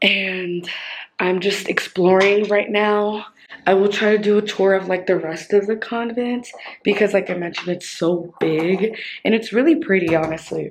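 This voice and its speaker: A woman whispers, keeping a moderate pace. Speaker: vlogger. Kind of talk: casual vlog tour. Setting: indoors in a quiet convent. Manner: whispering; casual, filler-heavy.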